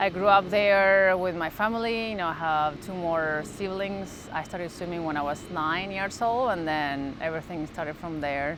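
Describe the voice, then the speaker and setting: In a strong Argentine accent, a woman talks at a moderate pace with hardly any pauses and ordinary pitch variation. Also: fairly low pitch for a woman. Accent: thick Argentine Spanish. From Argentina, Santa Fe. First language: Spanish. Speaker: sports mental performance coach. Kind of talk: interview. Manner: halting.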